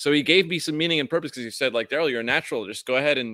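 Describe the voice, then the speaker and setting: A man with an upstate New York accent speaks in a bright, sharp tone with ordinary pitch variation. The sound is dry and close with no echo, on a very clean recording with a silent background. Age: 50s. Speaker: acupuncturist and video platform co-owner. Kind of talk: casual interview chat.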